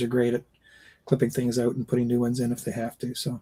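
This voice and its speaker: A man's medium-pitched voice, dark and mellow in tone, at a fairly quick pace. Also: dry, close sound with no echo. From Canada. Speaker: actor. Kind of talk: casual chat.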